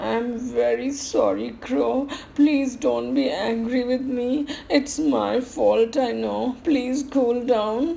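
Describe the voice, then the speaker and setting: This is a croaky, put-on character voice at a very slow pace. Clear background noise sits behind it. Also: woman. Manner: croaky, pleading.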